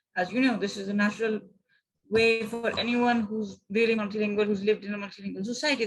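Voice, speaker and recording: A woman with a Punjabi accent, fairly high-pitched, at a fairly quick pace. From Pakistan. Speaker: poet. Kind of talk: interview answer.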